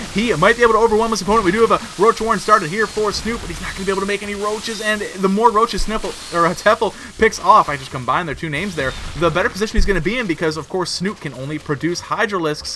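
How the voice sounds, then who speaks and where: A man with a high voice speaks very fast in a raised, projected voice. Noticeable background noise runs underneath. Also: ordinary pitch variation, hardly any pauses. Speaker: video game commentator. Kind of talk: live commentary. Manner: animated.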